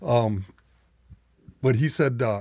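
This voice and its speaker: Somewhat breathy and medium in pitch, a man's voice sits in a very clean recording with a silent background. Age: 60s. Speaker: recovering alcoholic sharing his story. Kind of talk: casual conversation, recovery testimony.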